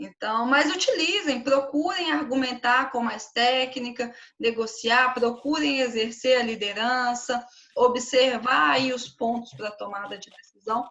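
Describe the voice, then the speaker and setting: A high-pitched woman at a fairly slow pace, with ordinary pitch variation and big swings in loudness. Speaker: teacher. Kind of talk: online class lecture. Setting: live stream.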